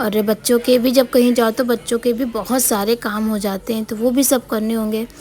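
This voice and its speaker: Over noticeable background noise, a woman speaks in a monotone, flat voice at a fairly high pitch and a moderate pace, with hardly any pauses. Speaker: home vlogger, housewife and mother. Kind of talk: casual vlog narration.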